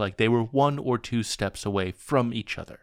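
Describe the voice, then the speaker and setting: This man has a plain, everyday voice at a medium pitch, with lively intonation. The recording is very clean, with a silent background. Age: 40s. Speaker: history podcast host. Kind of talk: scripted narration.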